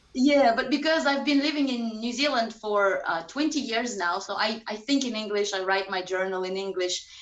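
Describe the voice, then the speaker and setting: In a room with audible echo and noticeable background noise, a woman with a Russian accent speaks at a moderate pace with hardly any pauses. Her pitch is fairly high and her intonation lively. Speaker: strength and conditioning coach. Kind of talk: casual interview chat.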